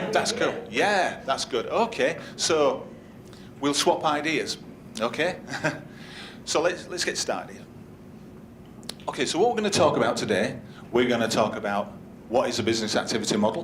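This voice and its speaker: With a Yorkshire accent, a man talks at a moderate pace and fairly high pitch, his very wide pitch swings broken by long, frequent pauses amid audible room echo. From Yorkshire, northern England. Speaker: conference speaker, business analyst. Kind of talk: conference workshop talk. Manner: conversational, interactive.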